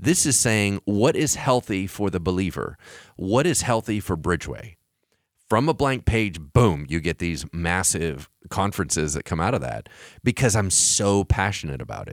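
The voice has vocal fry and very wide pitch swings at a moderate pace. The recording is very clean with a silent background and a dry, close sound with no echo. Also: man, very deep, low pitch for a man. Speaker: pastor. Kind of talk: casual chat. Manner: declarative, strong delivery.

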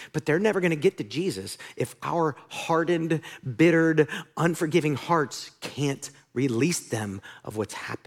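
This is a plain, everyday voice from a man with an American accent and a fairly high pitch. He talks at a moderate pace with lively intonation. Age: 40s. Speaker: pastor. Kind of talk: sermon. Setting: church.

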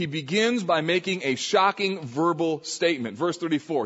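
With an American accent, a man talks at a moderate pace in a fairly high pitch with ordinary pitch variation, and there is noticeable background noise. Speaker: pastor. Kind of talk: sermon. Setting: church.

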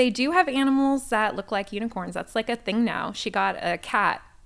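On a very clean recording with a silent background, a woman with a normal speaking voice talks at a moderate pace with ordinary pitch variation. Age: 30s. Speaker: church member sharing her family story. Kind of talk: casual chat. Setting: church.

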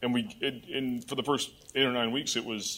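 A man talks in a plain, everyday voice with an American accent. His pitch is medium and his pace fairly quick. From Michigan. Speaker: judge. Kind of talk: testimony. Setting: church.

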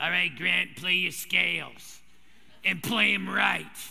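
A man puts on a raspy character voice. He keeps his loudness very even and moves at a fairly slow pace. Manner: stern, commanding.

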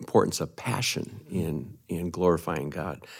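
In a very deep, low voice, a man speaks at a moderate pace with ordinary pitch variation. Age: 60s. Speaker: retiring church minister. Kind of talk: conversational interview. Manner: hesitant, many fillers.

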